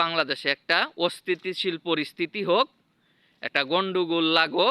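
Bright, sharp tone with ordinary pitch variation, dry and close with no echo, in a very clean recording with a silent background. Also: man. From Bangladesh, Mymensingh district. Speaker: political commentator vlogger. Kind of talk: unscripted monologue. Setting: outdoors.

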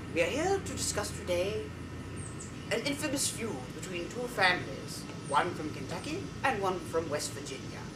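Loud background noise runs beneath the recording. A man speaks at a moderate pace. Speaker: comedian. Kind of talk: comedic parody narration of a history show, mimicking an elderly British narrator. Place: garden. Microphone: camera far.

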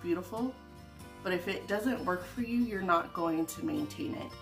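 A woman talks at an unhurried, moderate rate. Music comes through clearly behind her. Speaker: home organizing vlogger. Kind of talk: casual vlog chat.

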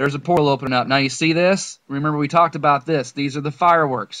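A man with a plain, everyday voice, fairly high pitch and fairly even intonation, against a quiet background. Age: 30s. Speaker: conspiracy video creator. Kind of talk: video monologue. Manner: rambling run-on delivery with fillers.

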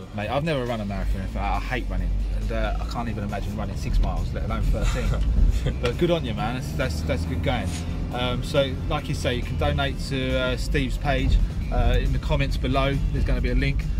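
Over loud music in the background, a man talks at a very fast pace in a dry sound with no echo. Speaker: vlogger, host. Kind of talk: casual interview chat. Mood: upbeat and friendly. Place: car.

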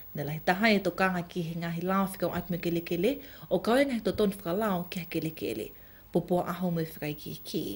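The voice is somewhat breathy, with ordinary pitch variation. Its pace is very fast. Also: woman, fairly low pitch for a woman. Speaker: news anchor. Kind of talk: news reading.

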